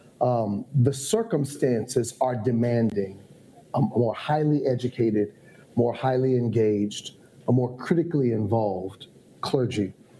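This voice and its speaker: With an American accent, a man speaks at a medium pitch and a fairly slow pace in a somewhat breathy, dark, mellow tone, with ordinary pitch variation and very even loudness. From Ohio. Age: 50s. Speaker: bishop and pastor. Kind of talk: casual chat. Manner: formal.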